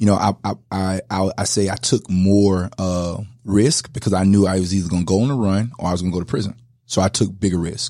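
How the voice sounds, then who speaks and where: A fairly low, dark and mellow male voice at a fairly quick pace, with fairly even intonation. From Louisiana. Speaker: pastor and former football player. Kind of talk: casual chat. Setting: studio.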